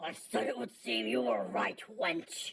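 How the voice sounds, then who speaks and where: A put-on character voice, bellowing and booming, raspy, low-to-middle in pitch, at a fairly slow pace. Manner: bellowing, booming.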